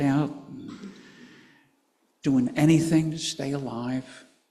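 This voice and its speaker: A man's dark, mellow voice, fairly high in pitch for a man, with fairly even intonation and a very slow pace. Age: 80s+. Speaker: pastor. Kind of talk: sermon.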